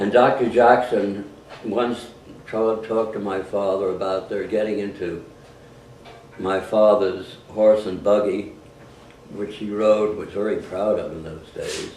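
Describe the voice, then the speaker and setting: A man with a New York accent speaks at a fairly slow pace and a fairly low pitch, his loudness swinging widely. Audible room echo surrounds his voice. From New York City (Harlem). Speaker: war veteran. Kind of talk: family storytelling to grandchildren. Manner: halting.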